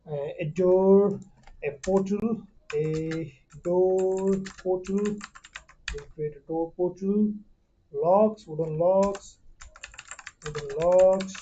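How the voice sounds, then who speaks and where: Using a very slow pace and long, frequent pauses, a woman with a non-native accent talks at medium pitch with fairly even intonation. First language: not English. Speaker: 3D modeling tutor. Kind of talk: tutorial. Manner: halting, many fillers.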